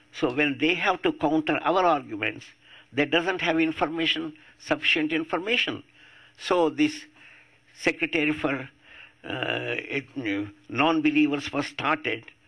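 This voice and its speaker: This man has a fairly high pitch, a bright, sharp tone and vocal fry, with ordinary pitch variation. He talks at a fairly slow pace, leaving long, frequent pauses. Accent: Indian. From India, Andhra Pradesh. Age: 80s+. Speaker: atheist activist. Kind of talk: public talk.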